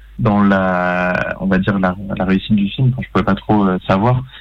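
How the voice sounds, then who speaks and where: In an unremarkable speaking voice, a man talks at a fairly slow pace with a fairly low pitch and ordinary pitch variation. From Paris suburbs. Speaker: film director. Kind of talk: interview.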